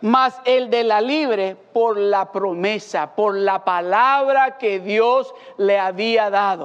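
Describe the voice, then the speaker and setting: The speech comes at a very slow pace with hardly any pauses. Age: 50s. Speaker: pastor. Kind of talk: sermon.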